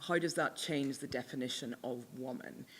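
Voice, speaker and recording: A woman with a Northern Irish accent at a moderate pace, her very deep, low pitch in a very clean recording with a silent background. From Northern Ireland. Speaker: author. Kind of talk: panel Q&A discussion. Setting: book launch event with audience.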